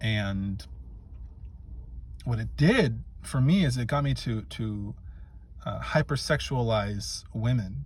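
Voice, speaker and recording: The speech is very slow, broken by long, frequent pauses, with audible room echo. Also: man. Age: 30s. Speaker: men's coach. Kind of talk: motivational talk to camera. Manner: halting, with frequent fillers.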